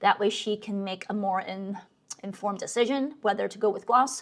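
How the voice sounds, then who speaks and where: A plain, everyday voice carries this clip. Its speed is moderate and its pitch varies in an ordinary way. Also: woman. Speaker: graphic designer vlogger. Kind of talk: casual vlog talk. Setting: home office.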